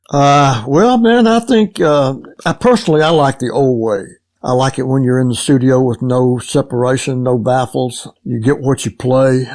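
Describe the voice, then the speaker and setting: Over a quiet background, the speaker uses a Southern US accent at a moderate pace with ordinary pitch variation. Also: man, medium pitch for a man. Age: 80s+. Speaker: session drummer. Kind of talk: interview. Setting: remote call. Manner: halting, many fillers.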